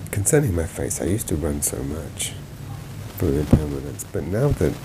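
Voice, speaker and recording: A man mumbling at a moderate pace in a very deep, low pitch, with noticeable background noise. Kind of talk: travel and health vlog narration. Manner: mumbling, groggy.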